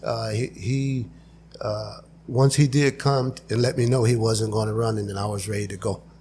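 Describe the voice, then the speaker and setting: A somewhat breathy man speaks with an American accent at a moderate pace. His pitch is medium and his intonation fairly even. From Imperial Valley, Southern California. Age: 60s. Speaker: candidate for a local utility board. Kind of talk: interview.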